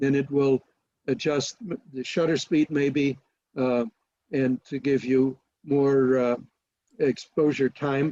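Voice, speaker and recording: A man speaks at a very slow pace, his pitch fairly high and his intonation fairly even. His tone is dark and mellow. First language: not English. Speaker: photography presenter. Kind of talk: webinar Q&A. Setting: video call. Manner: halting.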